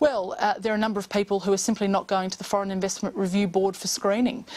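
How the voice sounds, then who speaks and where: The pace is very fast. A woman is speaking. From Australia. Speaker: government MP and committee chair. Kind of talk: news interview. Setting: remote studio link. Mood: calm, measured, formal. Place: studio. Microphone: lapel.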